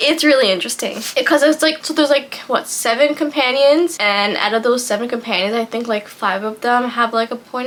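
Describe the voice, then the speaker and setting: Over noticeable background noise, a woman speaks at a fairly quick pace in a high voice. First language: French. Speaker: booktuber. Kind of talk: casual vlog book recommendations. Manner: hesitant, filler-heavy.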